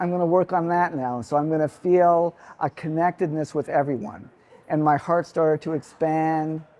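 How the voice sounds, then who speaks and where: This man has an ordinary speaking voice at a fairly high pitch. He goes at a moderate pace with ordinary pitch variation. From Canada. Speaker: retreat participant sharing a personal healing story. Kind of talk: personal testimonial to an audience.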